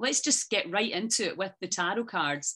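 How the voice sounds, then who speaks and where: With lively intonation, a woman talks in a bright, sharp tone. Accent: Scottish. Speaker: interviewer. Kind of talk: interview.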